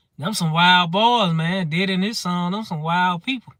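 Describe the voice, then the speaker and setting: This man talks at a moderate pace with a high pitch. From Mississippi, US South. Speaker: comedy streamer. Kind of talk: live stream comedy chat. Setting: live stream.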